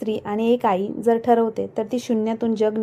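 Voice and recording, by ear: The text is read aloud in a natural voice.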